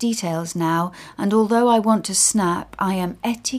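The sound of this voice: This is an unforced reading voice. The pitch varies in an ordinary way.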